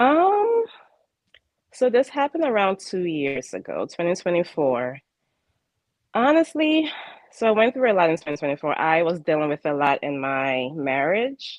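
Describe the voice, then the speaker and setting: Long, frequent pauses break up a woman's speech at a moderate pace. Her pitch is fairly low, with very wide swings. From Ghana. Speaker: spiritual life coach. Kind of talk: interview. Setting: live broadcast. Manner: halting, with fillers.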